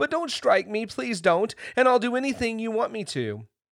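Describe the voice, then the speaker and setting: A man in a put-on character voice holds a high pitch at a moderate pace, recorded very cleanly over a silent background. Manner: fearful, pleading.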